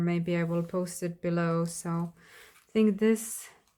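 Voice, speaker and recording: A woman with a Slovak accent speaks with fairly even intonation on a very clean recording with a silent background. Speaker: crafter. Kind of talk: craft flip-through video. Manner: casual, hesitant with fillers.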